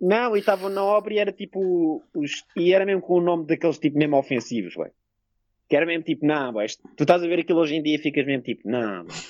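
Talking very fast, a man uses a high pitch with lively intonation. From Portugal, Lisbon. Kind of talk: casual chat. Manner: loud.

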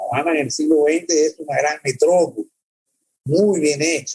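Speaking with a Cuban accent, a man has a fairly high pitch with ordinary pitch variation. His dark, mellow tone is somewhat breathy, and his pace is fairly slow. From Cuba (born in El Salvador, raised in Cuba). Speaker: documentary filmmaker. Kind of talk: interview conversation. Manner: halting, many fillers and repetitions.

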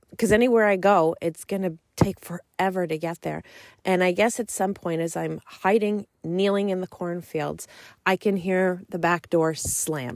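A woman speaks in a normal speaking voice at a moderate pace with ordinary pitch variation, in a dry, close sound with no echo. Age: 40s. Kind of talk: solo faith podcast monologue and testimony.

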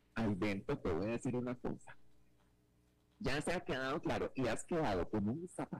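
With long, frequent pauses, a man speaks in very wide pitch swings and very even loudness, his voice showing vocal fry. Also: medium pitch for a man, moderate pace. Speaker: radio presenter. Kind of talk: casual chat. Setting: radio link. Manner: animated.

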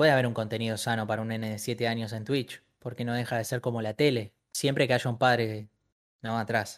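The delivery is fairly quick and monotone, with flat intonation, in a very clean recording with a silent background. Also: man, medium pitch for a man. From Argentina, Buenos Aires. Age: 20s. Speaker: streamer. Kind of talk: casual chat.

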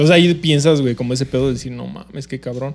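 With music in the background, a man at a medium pitch talks at a very fast pace in a Mexican accent. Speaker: podcast co-host. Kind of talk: casual chat.

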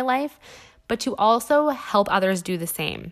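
A woman with a Western Canadian accent at a moderate pace, with ordinary pitch variation, on a very clean recording with a silent background. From western Canada (Alberta and British Columbia). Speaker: podcast host. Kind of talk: solo podcast monologue.

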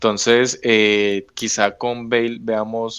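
A man with monotone, flat intonation. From Colombia. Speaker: podcast host, football fan club member. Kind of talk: casual chat.

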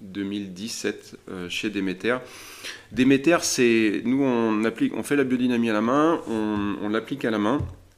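Speaking at a very slow pace, a man holds a medium pitch with ordinary pitch variation. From France, Loire Valley (Chinon). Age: 40s. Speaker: winegrower. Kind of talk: interview. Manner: halting, with many repetitions.

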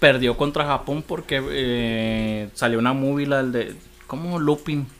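Fairly high in pitch for a man, this plain, everyday voice carries fairly even intonation. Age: 30s. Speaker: podcast guest. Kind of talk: casual chat.

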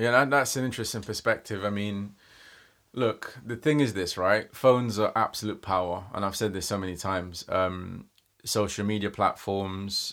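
A man with a London accent talks at a fairly quick pace in a fairly low voice with fairly even intonation, in a very clean recording with a silent background. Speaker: life coach. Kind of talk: interview, casual chat.

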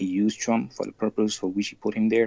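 A man with an American accent talks at a fairly quick pace. His pitch is fairly low and his intonation fairly even. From US Midwest. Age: 20s. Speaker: caller. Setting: video call. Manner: halting.

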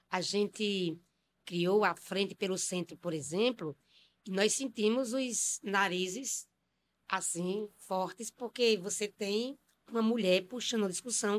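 A woman's medium-pitched, unremarkable speaking voice at a fairly slow pace, with ordinary pitch variation, dry, close sound with no echo, and a very clean recording over a silent background. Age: 50s. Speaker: city councillor and poet. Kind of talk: panel discussion interview.

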